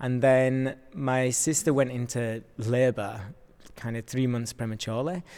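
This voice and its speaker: Speaking in a Yorkshire accent, a man goes at a fairly slow pace. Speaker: dancer. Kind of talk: casual chat.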